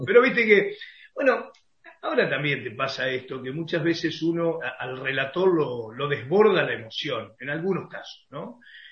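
Audible room echo surrounds a man whose fairly high voice shows very wide pitch swings and big swings in loudness at a moderate pace. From Argentina, Concordia, Entre Ríos. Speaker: football radio commentator. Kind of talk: interview.

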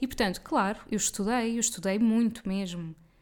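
A woman with an unremarkable speaking voice talks at a fairly high pitch and a fairly quick pace with ordinary pitch variation, in a very clean recording with a silent background. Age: 30s. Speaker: podcast host and nutritionist. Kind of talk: solo podcast monologue. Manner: casual. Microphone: good-quality USB mic.

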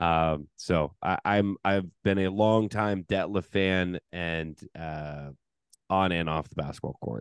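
Speaking very slowly with an American accent, a man uses a very deep, low voice with ordinary pitch variation. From US Pacific Northwest (Seattle). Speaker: basketball podcast host. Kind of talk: casual chat.

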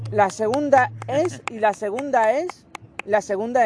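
A man's high pitch and dark, mellow tone, with lively intonation at a fairly slow pace. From Barcelona, Spain. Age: 20s. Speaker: interviewee with Asperger syndrome. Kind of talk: interview answers. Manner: halting, repetitive.

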